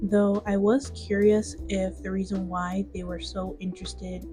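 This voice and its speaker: Music plays in the background as a woman talks fairly slowly. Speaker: digital artist and video commentator. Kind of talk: speedpaint commentary. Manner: gradually gets quieter.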